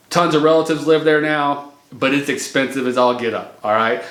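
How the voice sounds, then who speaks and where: With a Midwestern accent, a man talks at a fairly quick pace in a fairly high pitch and with fairly even intonation. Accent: Midwestern accent, noticeable. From US Midwest. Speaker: remodeling contractor and channel host. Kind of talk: casual channel intro talk to camera. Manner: casual, with many fillers and restarts.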